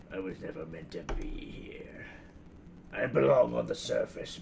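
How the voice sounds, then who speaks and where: A raspy put-on character voice at a moderate pace, with clear background noise. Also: man. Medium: actual play. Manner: formal, wistful.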